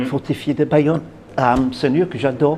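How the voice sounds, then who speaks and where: There is noticeable background noise behind a man with a New Zealand accent. He talks at medium pitch with ordinary pitch variation. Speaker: tour guide. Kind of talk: interview answer. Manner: lively, enthusiastic.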